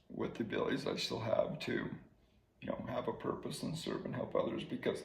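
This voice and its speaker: Here a man talks at a fairly quick pace. Noticeable background noise runs behind him. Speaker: former teacher and coach living with ALS. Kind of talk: interview answer.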